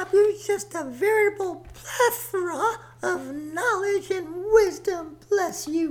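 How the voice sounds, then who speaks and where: A woman's extremely high-pitched voice, very slow in pace, with ordinary pitch variation over noticeable background noise. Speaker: comic character Mother Nature.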